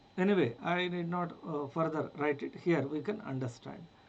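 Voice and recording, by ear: A man speaks at a fairly high pitch with a slightly mellow tone. His pace is fairly slow, with ordinary pitch variation.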